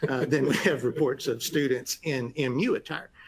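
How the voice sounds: A man speaks at a medium pitch with a slightly husky edge.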